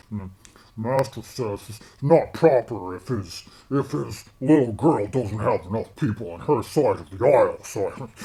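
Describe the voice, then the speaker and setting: Using a put-on character voice, a man keeps a moderate pace at a medium pitch. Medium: actual play. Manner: muttering, slow, dutiful.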